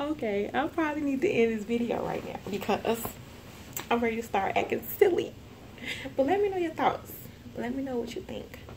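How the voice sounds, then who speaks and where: A woman's high-pitched voice at a fairly quick pace, very wide pitch swings, long and frequent pauses, noticeable background noise and audible room echo. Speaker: youth mentor, nonprofit founder. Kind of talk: motivational vlog talk. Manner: fast; animated.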